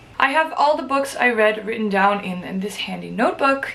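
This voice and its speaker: Over noticeable background noise and audible room echo, a woman talks with ordinary pitch variation. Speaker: book vlogger. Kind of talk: casual vlog talk to camera.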